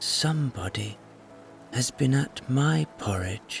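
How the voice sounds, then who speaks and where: A man's put-on character voice, medium in pitch and fairly slow, over clear background noise. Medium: read story.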